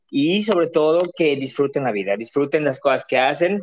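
A man with a plain, everyday voice moves at a moderate pace, his pitch shifting in an ordinary way. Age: 30s. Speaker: drag performer and marketer. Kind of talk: casual chat.

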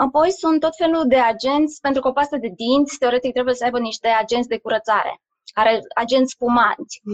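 Her high voice moves at a fairly quick pace with ordinary pitch variation and very even loudness, the woman's sound dry and close with no echo. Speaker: doctor and aromatherapy coach. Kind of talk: live stream interview.

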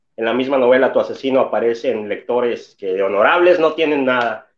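This man speaks with a Mexican accent and a fairly high pitch. His intonation is lively. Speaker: booktuber. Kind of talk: casual chat.

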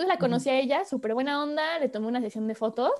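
Her pitch high and her variation ordinary, a woman speaks. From Mexico, Córdoba, Veracruz. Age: 20s. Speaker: photographer. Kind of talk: casual interview.

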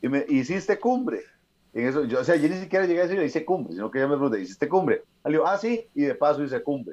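A man at a fairly high pitch and very fast pace, with very wide pitch swings. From Costa Rica, Escazú. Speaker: mountaineer and motivational speaker. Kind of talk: interview conversation.

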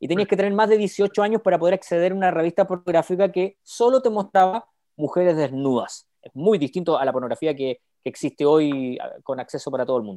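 A man's high-pitched voice, dark and mellow in tone, with lively intonation at a very fast pace, in a dry, close sound with no echo. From Chile. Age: 30s. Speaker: youth ministry speaker. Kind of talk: interview.

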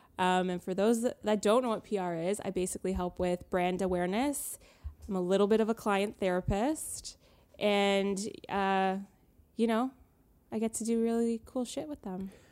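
A woman's unremarkable speaking voice with a Canadian accent, medium pitch, ordinary pitch variation and a moderate pace, on a very clean recording with a silent background. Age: 20s. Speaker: PR professional. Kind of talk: casual chat.

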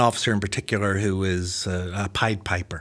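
A man with an American accent talks at a fairly slow pace on a very clean recording with a silent background. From Belfast, Northern Ireland. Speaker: pastor and seminary-trained author. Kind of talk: casual interview conversation.

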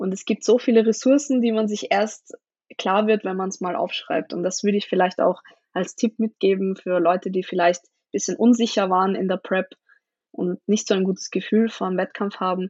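A woman with an unremarkable speaking voice talks at a medium pitch and a moderate pace. Her intonation is fairly even, though her loudness swings widely. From Austria, Vienna. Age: 20s. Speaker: powerlifter. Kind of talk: casual chat.

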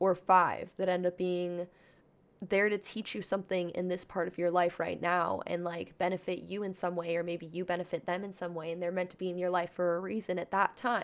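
This woman talks fairly quickly, her pitch sitting fairly low. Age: 20s. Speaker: podcast host. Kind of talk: casual monologue. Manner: animated.

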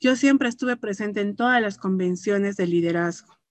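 In a dry, close recording with no echo, a woman speaks in a normal speaking voice at a medium pitch, a moderate pace and ordinary pitch variation. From Peru, Puno (Huancané), moved to Arequipa at 13. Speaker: network marketing distributor. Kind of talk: testimony.

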